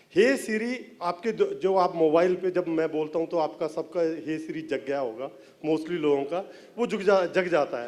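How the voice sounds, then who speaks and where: Speaking with ordinary pitch variation, a man has a high-pitched voice. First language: Punjabi (speaking Hindi). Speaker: film writer and director. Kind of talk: press event talk. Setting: stage with audience.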